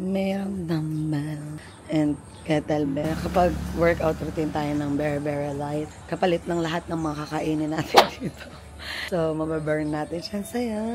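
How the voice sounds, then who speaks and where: The voice moves at a fairly slow pace with fairly even intonation. Noticeable background noise is present. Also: woman, very deep, low pitch for a woman. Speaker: travel vlogger. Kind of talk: vlog.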